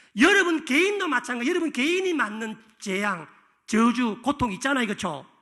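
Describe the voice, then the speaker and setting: Projecting a raised voice with a bright, sharp tone, a man talks at a very fast pace, his extremely high pitch making very wide swings. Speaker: pastor. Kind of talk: sermon. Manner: animated.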